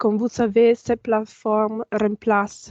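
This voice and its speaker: A woman with a non-native accent speaks at a fairly slow pace, her fairly high pitch carrying a dark, mellow tone. The sound is dry and close with no echo, over a quiet background. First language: not French (speaking French). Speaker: information management officer and trainer. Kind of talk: online training tutorial. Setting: video call with screen sharing. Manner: halting, many fillers.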